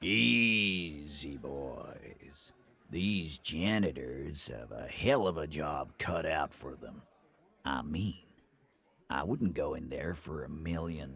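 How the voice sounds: A man puts on a character voice in a Southern US accent, with a very deep, low pitch. His intonation is lively and his pace very slow. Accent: southern American.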